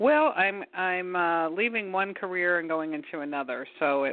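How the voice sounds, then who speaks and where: A woman with an American accent speaks in a fairly low voice. It is an ordinary speaking voice, with ordinary pitch variation. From Michigan. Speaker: caller. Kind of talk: phone-in question.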